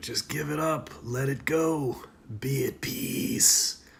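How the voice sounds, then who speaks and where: Whispering at a very slow pace, a man puts on a raspy, hissing character voice. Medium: solo performance. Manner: taunting, insinuating.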